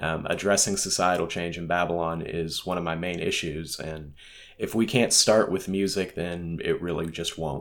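A man with an American accent talks at a moderate pace. His pitch is very deep and low, and his intonation fairly even. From Kansas, US. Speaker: slam poet and hip hop artist. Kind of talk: casual interview.

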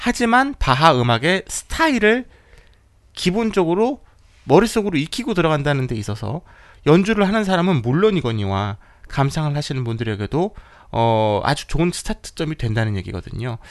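Against a quiet background, a man talks at a moderate pace with a fairly high pitch that swings very widely. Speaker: classical music podcast host and pianist. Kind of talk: casual educational talk. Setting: at home.

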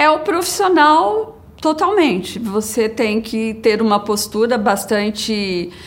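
Her pitch is fairly high and swings very widely. This woman speaks at a very slow pace. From São Paulo, Brazil (childhood in Brasília). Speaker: company employee, insurance manager. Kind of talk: personal testimony interview.

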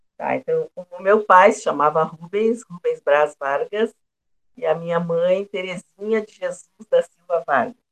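A woman with an unremarkable speaking voice talks at a fairly slow pace and medium pitch, with ordinary pitch variation and a dry, close sound with no echo. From southern Brazil, Pelotas, Rio Grande do Sul. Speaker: singer and retired teacher. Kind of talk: interview.

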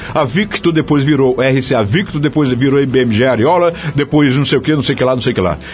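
This man has an unremarkable speaking voice at a medium pitch. His loudness stays very even, with hardly any pauses. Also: ordinary pitch variation, fairly quick pace. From Paraíba, northeast Brazil. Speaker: journalist and culture researcher. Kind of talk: radio interview.

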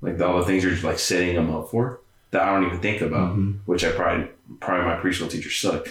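At a very fast pace, a man speaks in a very deep, low voice with fairly even intonation. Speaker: podcast co-host.

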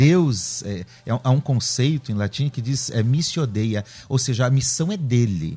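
At a fairly slow pace, a man speaks with lively intonation in a dark, mellow, somewhat breathy voice of medium pitch. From Curitiba, southern Brazil. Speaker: pastor. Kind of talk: radio panel debate. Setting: radio studio.

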